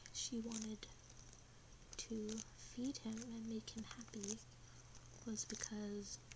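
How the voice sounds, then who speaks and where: A soft-spoken woman whispers at a very slow pace with long, frequent pauses, over noticeable background noise. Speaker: ASMR creator. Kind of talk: ASMR fact-telling. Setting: ASMR recording with gum chewing and tapping sounds. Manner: whispered, soft. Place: home room. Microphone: webcam.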